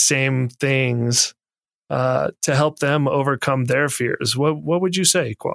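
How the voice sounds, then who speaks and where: A man with a plain, everyday voice, fairly high, speaks at a fairly slow pace with ordinary pitch variation in a dry, close sound with no echo. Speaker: podcast host. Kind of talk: moderated interview conversation. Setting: video call with remote guests.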